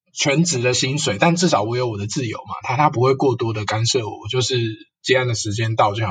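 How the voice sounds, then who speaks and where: Medium-pitched male voice at a fairly quick pace. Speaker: counseling psychologist. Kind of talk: casual interview chat.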